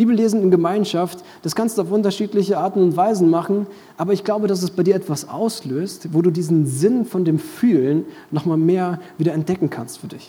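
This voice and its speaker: Against noticeable background noise, a man with a high pitch talks at a fairly quick pace. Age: 20s. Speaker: pastor. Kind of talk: sermon. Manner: animated.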